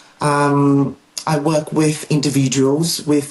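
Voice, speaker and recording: A woman with a Portuguese accent talks at a very slow pace in a very deep, low voice. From Brazil, northern Amazon region. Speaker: therapist. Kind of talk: interview. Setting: podcast. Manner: halting, many fillers.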